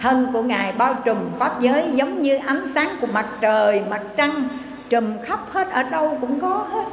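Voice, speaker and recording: A woman's high voice with lively intonation at a fairly slow pace, amid noticeable background noise. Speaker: Buddhist nun. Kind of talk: sermon. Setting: temple. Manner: formal.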